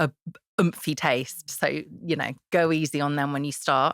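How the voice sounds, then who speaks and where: A woman's very deep, low voice with fairly even intonation at a moderate pace, in a very clean recording with a silent background and a dry, close sound with no echo. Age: 30s. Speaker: chef and cookbook author. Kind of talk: podcast interview.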